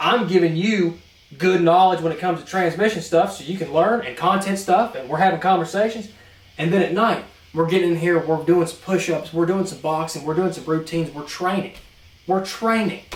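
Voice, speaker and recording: A man with a high pitch talks at a fairly quick pace in an American accent, with big swings in loudness. Audible room echo and noticeable background noise fill the recording. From North Carolina. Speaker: transmission mechanic and podcast co-host. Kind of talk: casual chat. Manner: animated.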